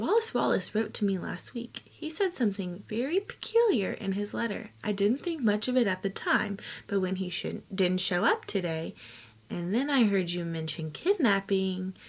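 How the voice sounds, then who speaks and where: Using a put-on character voice, a woman speaks softly and shakily at a medium pitch and a moderate pace, mumbling her words. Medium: read story. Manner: shy, nervous, mumbling.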